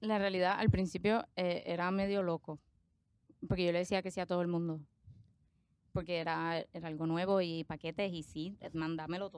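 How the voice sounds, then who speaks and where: The voice holds a moderate pace with a monotone, flat intonation. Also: woman, fairly low pitch for a woman. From Puerto Rico, moved from Argentina at age five. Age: 20s. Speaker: accountant and social media creator. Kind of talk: casual interview chat. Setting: studio. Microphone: close to microphone.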